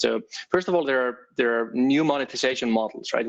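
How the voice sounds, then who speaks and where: This man has an Icelandic accent. His pitch sits at a medium level. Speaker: developer advocate. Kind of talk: tech talk presentation. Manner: many filler words and restarts.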